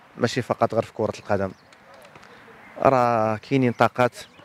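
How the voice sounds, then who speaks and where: Recorded dry without echo, a man of medium pitch speaks in a Moroccan accent. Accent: Moroccan Darija. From Morocco. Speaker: high school handball coach and teacher; school handball team coach. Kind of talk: interview. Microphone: handheld.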